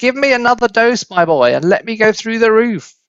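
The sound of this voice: A man puts on a shrill character voice at an extremely high pitch. He talks at a fairly quick pace.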